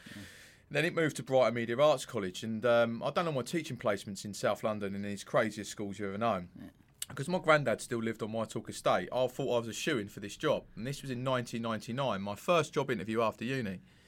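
A man with a southern English accent, very fast pace, ordinary pitch variation and big swings in loudness. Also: medium pitch for a man. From Sussex, England. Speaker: mindset coach and author. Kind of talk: casual interview. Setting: studio.

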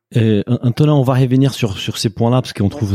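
A man's dark, mellow voice at a fairly quick pace with ordinary pitch variation, on a very clean recording with a silent background. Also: dry, close sound with no echo. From Brazil. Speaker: podcast co-host. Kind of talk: casual interview.

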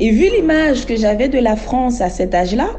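Room echo is audible. There is also noticeable background noise. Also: woman. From Haiti. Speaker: interviewee sharing life story. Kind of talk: testimony. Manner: halting.

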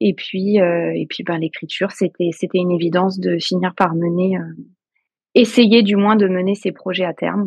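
In an ordinary speaking voice, a woman talks at medium pitch and a fairly slow pace with fairly even intonation, the sound dry and close with no echo. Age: 40s. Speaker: novelist and kindergarten teacher. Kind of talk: interview.

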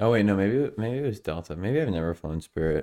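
A man's unremarkable speaking voice, fairly low in pitch, with ordinary pitch variation. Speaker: podcast host. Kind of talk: casual chat. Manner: casual, conversational.

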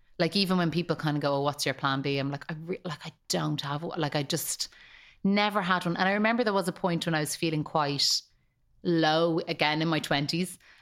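An unremarkable speaking voice belongs to a woman with a fairly low pitch who talks at a fairly quick pace with ordinary pitch variation, on a very clean recording with a silent background. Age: 30s. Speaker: actress. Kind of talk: casual chat.

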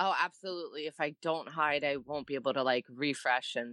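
A fairly quick pace with an American accent. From New Jersey. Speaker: stay-at-home mom. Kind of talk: casual chat.

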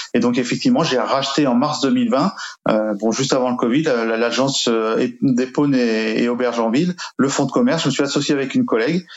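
The man's voice sits at a medium pitch with ordinary pitch variation. His loudness stays very even throughout. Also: moderate pace. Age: 50s. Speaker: real estate agency owner. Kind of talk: interview testimony. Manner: hesitant, repeats words.

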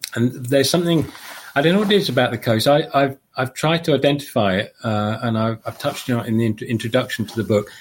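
A man's medium-pitched voice at a very fast pace with lively intonation. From London, southeast England. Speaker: long distance walker and guidebook writer. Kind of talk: live interview.

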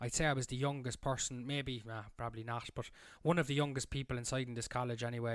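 Speaking in a Cork accent, a man talks at a very fast pace. His medium-pitched voice stays monotone and flat. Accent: Cork Irish. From Ireland, Cork. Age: 20s. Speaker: chef and podcaster. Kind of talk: solo monologue storytelling.

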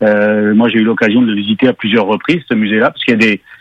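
A man speaks at a medium pitch. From Quebec. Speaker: car journalist. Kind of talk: casual chat.

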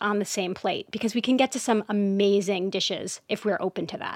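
A woman's unremarkable speaking voice, medium in pitch, with fairly even intonation, dry and close with no echo, on a very clean recording with a silent background. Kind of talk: casual interview.

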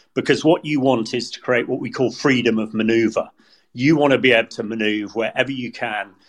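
Medium in pitch, a man speaks in a British accent with fairly even intonation. The recording is very clean, its background silent. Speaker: retired military commander. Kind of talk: news analysis discussion.

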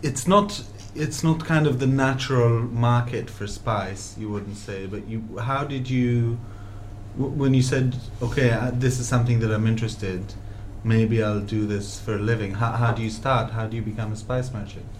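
With an ordinary speaking voice, a man talks at a moderate pace in a medium pitch and with fairly even intonation. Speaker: restaurateur and podcast host. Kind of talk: interview chat about food. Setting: deli, recorded talk.

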